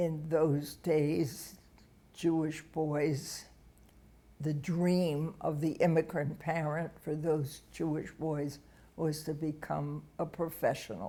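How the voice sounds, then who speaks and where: A woman's very deep, low, dark and mellow voice, monotone and flat, at a very slow pace. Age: 80s+. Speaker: interviewee telling life story. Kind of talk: oral history interview. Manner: halting.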